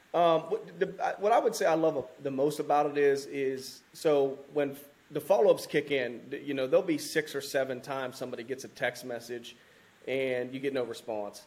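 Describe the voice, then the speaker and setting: At a moderate pace, a man with a fairly high pitch and ordinary pitch variation speaks in an ordinary speaking voice. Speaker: firefighter and land investor. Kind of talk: casual interview chat.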